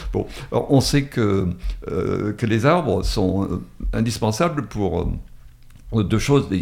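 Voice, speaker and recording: A man speaks at a very slow pace, with long, frequent pauses. His pitch sits fairly low, and his intonation is lively. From Drôme, France. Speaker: retired author. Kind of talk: radio interview. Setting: radio studio.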